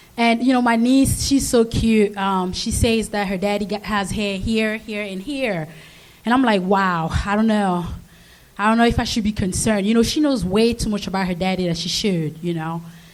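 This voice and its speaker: A woman talks at a moderate speed, with audible echo from the room. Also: medium pitch for a woman, ordinary pitch variation. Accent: African. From Africa. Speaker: amateur comedian. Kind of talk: stand-up. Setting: stage with live audience.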